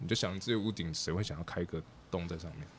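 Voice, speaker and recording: Speaking at a fairly quick pace, a man has a very deep, low pitch. His pitch variation is ordinary. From Taiwan. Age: 40s. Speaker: architect and treehouse builder. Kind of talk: interview.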